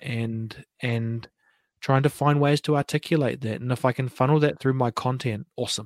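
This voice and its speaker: On a very clean recording with a silent background, a man with a New Zealand accent speaks in a fairly even intonation. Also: dry, close sound with no echo. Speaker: podcaster and breathing coach. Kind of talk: casual chat. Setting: live stream fireside chat.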